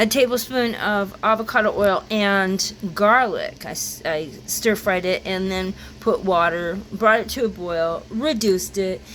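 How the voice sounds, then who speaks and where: Over noticeable background noise, a woman speaks at medium pitch and a fairly slow pace with ordinary pitch variation. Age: 60s. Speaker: cooking channel host. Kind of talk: casual cooking tutorial. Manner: casual, halting with fillers.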